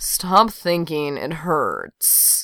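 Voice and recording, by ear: Putting on a character voice, a woman mumbles at a very slow pace in a low, bright, sharp tone with big pitch swings, on a very clean recording with a silent background.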